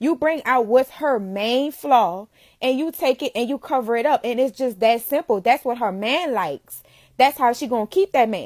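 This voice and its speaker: A high-pitched woman speaks in a New Orleans accent with an animated tone at a moderate pace. The recording is very clean with a silent background, dry and close with no echo. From New Orleans, Louisiana. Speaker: makeup entrepreneur. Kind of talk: casual live-stream talk.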